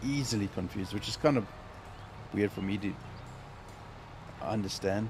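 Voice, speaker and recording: Somewhat breathy male speech, fairly low in pitch and ordinary in pitch variation. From South Africa. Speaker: gaming live streamer. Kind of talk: casual chat. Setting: live stream.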